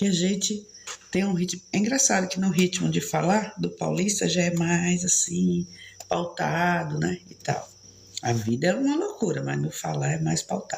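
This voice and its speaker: Noticeable background noise around a woman's moderately paced speech. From São Paulo, Brazil. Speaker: live streamer. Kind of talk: casual chat.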